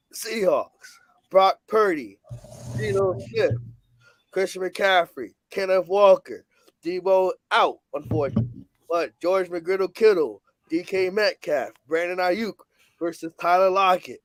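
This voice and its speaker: A high-pitched man speaks in an animated tone at a fairly slow pace, with long, frequent pauses. His pitch varies in an ordinary way, and the sound is dry and close with no echo. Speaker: sports betting show host. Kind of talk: casual sports preview talk.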